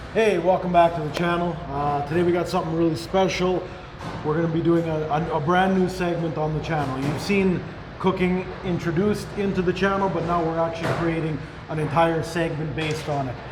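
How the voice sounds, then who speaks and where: Over noticeable background noise and audible room echo, a man talks loudly at a fairly quick pace in a high pitch. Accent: Canadian. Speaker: YouTube channel host. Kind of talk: cooking show chat. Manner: animated.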